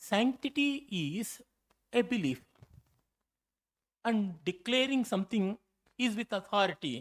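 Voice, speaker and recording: A man with a Kannada accent, high-pitched, with lively intonation, a fairly slow pace and long, frequent pauses, in a very clean recording with a silent background. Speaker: scholar, keynote speaker. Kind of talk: lecture. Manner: halting, frequent fillers and self-corrections.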